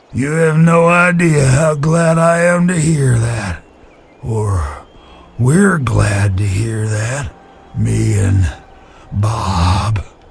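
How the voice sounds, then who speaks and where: Using a put-on character voice at a medium pitch, a man talks at a very slow pace with long, frequent pauses. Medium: video game. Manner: wry, rambling, good-humored.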